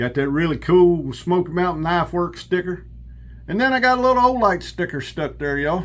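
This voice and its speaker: With a Southern US accent, a man speaks at a fairly quick pace in a high pitch, his intonation lively. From South Carolina and Kentucky. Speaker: outdoors and knife YouTuber. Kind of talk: casual vlog, knife review. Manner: animated.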